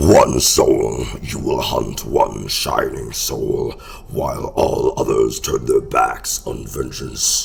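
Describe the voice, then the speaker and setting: Using a put-on character voice, a man growls at a very slow pace. Clear background noise can be heard. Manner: dramatic, theatrical.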